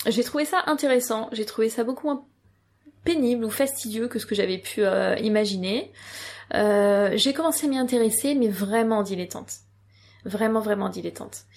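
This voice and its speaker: A woman's fairly high voice at a moderate pace, ordinary pitch variation and long, frequent pauses. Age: 30s. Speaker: yoga teacher. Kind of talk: interview.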